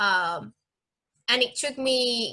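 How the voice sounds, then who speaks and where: With a Spanish accent, a woman speaks in a bright, sharp tone. Her pitch is fairly high. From Mexico. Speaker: fencing instructor. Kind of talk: interview. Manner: halting.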